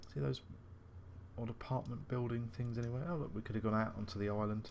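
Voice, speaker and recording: With an English accent, a man speaks very fast in a fairly low voice. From England. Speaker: gaming video host. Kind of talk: let's play commentary. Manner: casual, thinking aloud.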